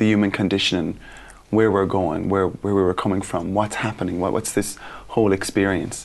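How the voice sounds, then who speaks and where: Fairly quick and with fairly even intonation, a man with an Irish accent speaks in a fairly low pitch. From Ireland. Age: 30s. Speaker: school teacher. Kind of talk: interview.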